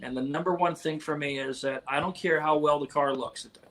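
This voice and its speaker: This man has a plain, everyday voice with an American accent and fairly high pitch. He keeps a moderate pace and fairly even intonation. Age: 50s. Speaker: car movie technical advisor. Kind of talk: interview.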